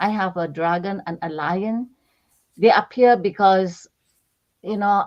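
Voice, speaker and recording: A woman's voice over a quiet backdrop. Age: 60s. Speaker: spiritual channeler. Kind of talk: casual chat.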